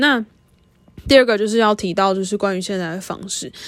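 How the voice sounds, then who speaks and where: A woman speaks in a plain, everyday voice at a medium pitch. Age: 20s. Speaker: podcast host. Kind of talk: casual monologue.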